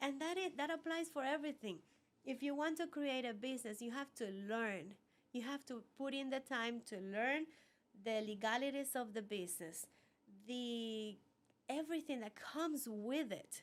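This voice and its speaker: A woman's high-pitched voice with a Cuban accent, lively intonation and a moderate pace. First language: Spanish. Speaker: business owner. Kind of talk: interview.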